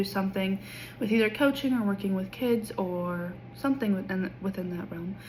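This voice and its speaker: Somewhat breathy woman's speech with a Kansas accent, medium pitch, ordinary pitch variation and a fairly quick pace. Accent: US Midwest (Kansas). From Kansas, small town west of Wichita. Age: 20s. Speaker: education student. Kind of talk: class introduction video. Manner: casual with filler ums.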